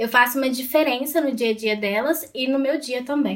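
A woman speaks in a high pitch at a moderate pace. Her intonation is fairly even. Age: 20s. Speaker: student and feminist activist. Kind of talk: casual chat.

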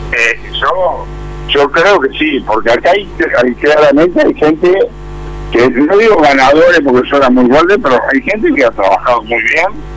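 Over noticeable background noise, a man speaks at a fairly slow pace. His loudness stays very even. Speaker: businessman, former industry chamber president. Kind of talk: radio interview. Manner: halting.

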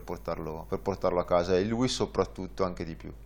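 Speaking at a moderate pace with vocal fry, a man with a very deep, low pitch is heard on a very clean recording with a silent background. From northern Italy, Varese. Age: 30s. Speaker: tandem cycling guide pilot. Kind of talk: interview. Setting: studio.

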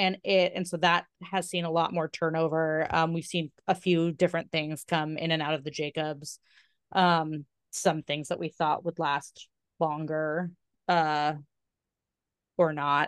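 A woman with a normal speaking voice talks at a fairly slow pace and a fairly low pitch, in a dry, close sound with no echo. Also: quiet background. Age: 30s. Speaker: podcast co-host. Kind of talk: casual chat.

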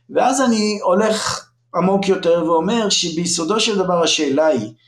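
Using a high pitch with very wide pitch swings, a man speaks at a moderate pace. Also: very even loudness. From Israel, northern kibbutz. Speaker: education professor. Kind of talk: podcast interview.

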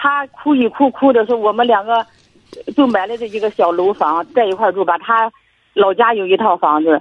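A woman with a plain, everyday voice speaks at a moderate pace, her fairly high pitch carrying lively intonation. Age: 60s. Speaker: caller, retiree. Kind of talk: casual chat.

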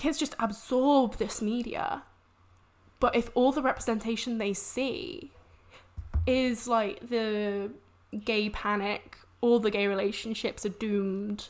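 A woman with an English accent and a fairly high pitch, very slow pace, long and frequent pauses, ordinary pitch variation, on a very clean recording with a silent background. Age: 20s. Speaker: science communicator. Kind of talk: casual chat.

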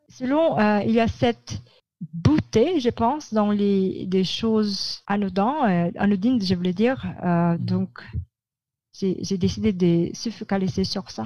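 Here a woman speaks at a very slow pace and medium pitch, somewhat breathy. Her tone is dark and mellow, with lively intonation. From Philippines, Manila. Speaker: publicist. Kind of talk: interview. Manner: halting.

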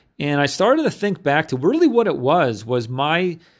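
At a moderate pace, a man with an American accent talks at a fairly high pitch. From upstate New York. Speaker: podcast host, marketing coach. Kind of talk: solo monologue, personal storytelling.

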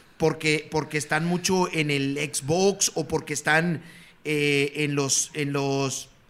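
Over noticeable background noise, a man with a Mexican accent speaks very slowly in a fairly high pitch with monotone, flat intonation. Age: 50s. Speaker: retired sports broadcaster. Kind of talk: casual chat.

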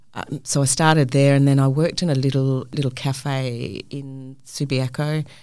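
With a New Zealand accent, a woman speaks in a very deep, low pitch and a flat, monotone delivery. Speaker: hospitality venue manager. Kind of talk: casual interview. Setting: studio.

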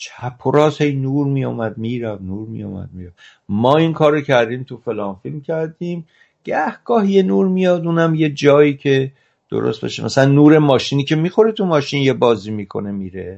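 Pitch swings very widely as the speaker moves at a fairly quick pace. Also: man, fairly high pitch for a man. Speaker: cinematographer. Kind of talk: interview.

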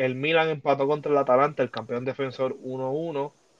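A man's fairly high voice in a dry, close sound with no echo. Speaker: sports podcast host. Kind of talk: casual chat. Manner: animated.

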